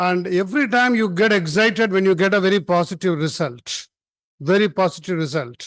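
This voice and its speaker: At a fairly quick pace, a man with a high pitch speaks at very even loudness over a quiet background. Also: ordinary pitch variation. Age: 70s. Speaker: conference speaker. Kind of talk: formal speech. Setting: conference hall with audience. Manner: informal, unscripted.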